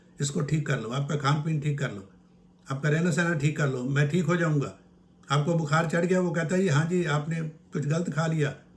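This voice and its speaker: A man with a fairly high, somewhat breathy voice speaks at a moderate pace with fairly even intonation. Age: 80s+. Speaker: naturopath. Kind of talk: health advice talk. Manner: informal, conversational.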